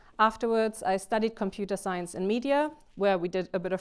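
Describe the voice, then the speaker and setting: A woman talks at a fairly quick pace with a German accent and fairly even intonation. The recording is very clean, with a silent background. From Germany. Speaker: games industry speaker. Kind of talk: conference talk. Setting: stage with audience. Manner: fast.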